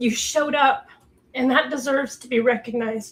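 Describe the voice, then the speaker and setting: A woman uses a put-on character voice that is raspy and high-pitched. She talks at a fairly quick pace in a monotone, flat intonation. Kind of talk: speech to an audience. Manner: heartfelt.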